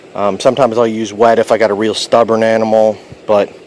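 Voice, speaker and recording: There is noticeable background noise behind this man. His pitch is medium and his pace fairly quick. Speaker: pest control technician. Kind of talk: tutorial.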